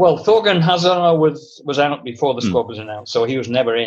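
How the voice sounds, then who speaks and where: A man speaks with a Mancunian accent. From Manchester, England. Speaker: football writer. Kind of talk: casual chat.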